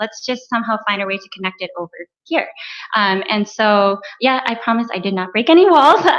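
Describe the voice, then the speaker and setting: A soft-spoken woman talks at a fairly high pitch and a fairly quick pace. Her intonation is lively, with big swings in loudness. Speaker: panelist. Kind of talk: panel discussion.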